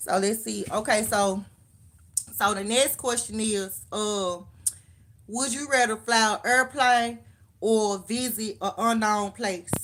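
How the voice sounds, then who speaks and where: A woman's fairly high voice with a Southern US accent, very slow pace, fairly even intonation, and long, frequent pauses. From Memphis, Tennessee (US South). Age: 30s. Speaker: livestreamer. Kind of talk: casual live-stream chat reading comments. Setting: live stream, late night. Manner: casual, conversational.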